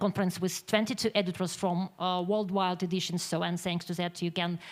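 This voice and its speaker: Very clean and silent in the background, this recording features a woman with a Ukrainian accent. She has a medium pitch and fairly even intonation. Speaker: magazine publisher. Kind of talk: conference presentation. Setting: conference with audience. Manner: halting.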